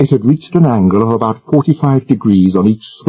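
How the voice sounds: The intonation in this natural reading voice is lively.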